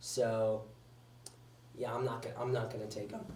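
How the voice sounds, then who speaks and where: The man's voice is somewhat breathy with a dark, mellow tone, and audible room echo surrounds it. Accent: American. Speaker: sports show host. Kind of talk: casual sports commentary podcast. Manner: fast.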